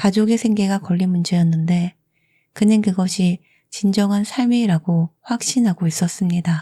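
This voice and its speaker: A calm, soothing tone at a fairly slow pace on a very clean recording with a silent background. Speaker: audiobook narrator. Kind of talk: sleep story audiobook narration of literary biography. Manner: calm, soothing, slow.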